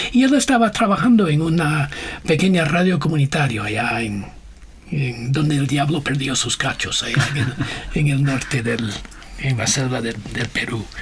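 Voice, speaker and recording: With noticeable background noise and audible room echo, a man speaks at a fairly high pitch and a moderate pace, his intonation lively. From USA. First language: English (speaking Spanish). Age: 60s. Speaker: missionary and communication leader. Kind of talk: interview. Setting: radio studio. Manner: halting, many fillers.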